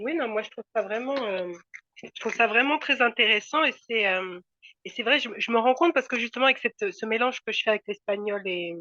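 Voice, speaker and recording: The voice has lively intonation and a bright, sharp tone at a fairly quick pace. The sound is dry and close with no echo. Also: woman, fairly high pitch for a woman. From France. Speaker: course participant. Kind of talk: video call discussion. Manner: hesitant, many fillers.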